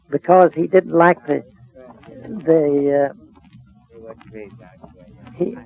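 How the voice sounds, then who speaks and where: Against noticeable background noise, a man talks in an American accent. His pitch is fairly high, with ordinary pitch variation. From Texas. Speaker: storekeeper. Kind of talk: interview answer. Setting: old radio recording.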